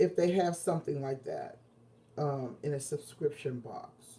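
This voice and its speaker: Somewhat breathy, a woman's dark, mellow voice moves at a very slow pace. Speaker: quilting and crafts vlogger. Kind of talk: casual livestream chat. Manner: hesitant, many fillers.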